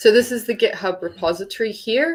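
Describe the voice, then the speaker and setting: With a New Zealand accent, a woman speaks at a moderate pace in a very clean recording with a silent background. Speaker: geothermal tutorial instructor. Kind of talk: tutorial. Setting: live stream.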